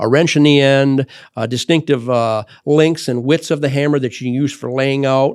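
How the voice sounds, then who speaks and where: On a very clean recording with a silent background, a man with an Upper Midwest accent talks at a fairly quick pace with fairly even intonation. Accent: Upper Midwest American. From Michigan, US Midwest. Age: 60s. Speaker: tool company owner and podcast host. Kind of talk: podcast monologue. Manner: halting, many fillers and restarts.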